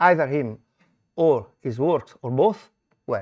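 Speaking at a moderate pace in an Italian accent, a man has a fairly high pitch, a dark, mellow tone and lively intonation. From Italy. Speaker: scholar presenting a conference paper. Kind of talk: conference talk. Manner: halting.

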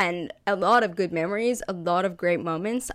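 On a very clean recording with a silent background, a woman speaks at a moderate pace with a fairly low pitch. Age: 20s. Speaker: podcaster. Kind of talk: casual monologue. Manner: animated.

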